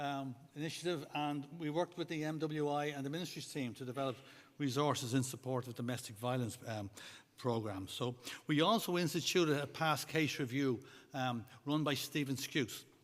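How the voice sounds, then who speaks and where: The man's pitch is fairly high, with ordinary variation. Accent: Irish. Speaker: church governance board presenter. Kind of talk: conference report. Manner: fast.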